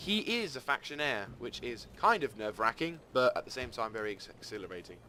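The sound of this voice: A man speaks at a fairly quick pace in a medium pitch, his bright, sharp tone making big pitch swings.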